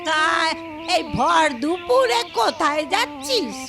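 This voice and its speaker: Over clear music in the background, a woman puts on a character voice at a high pitch. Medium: comedy sketch. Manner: scolding, insulting.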